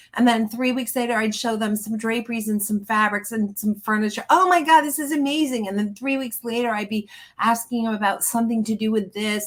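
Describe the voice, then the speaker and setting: Fairly high and somewhat breathy, a woman's voice sounds animated at a fairly quick pace. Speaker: interior designer and business coach. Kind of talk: webinar interview. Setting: live video webinar. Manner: fast.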